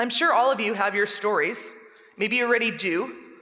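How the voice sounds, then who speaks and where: In audible room echo, a woman speaks at a fairly quick pace. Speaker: chapel speaker and English teacher. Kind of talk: chapel talk. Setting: large room, speaking to students. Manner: fast.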